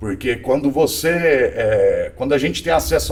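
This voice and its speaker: A man talks with music playing in the background. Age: 40s. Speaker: tech executive. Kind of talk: podcast interview.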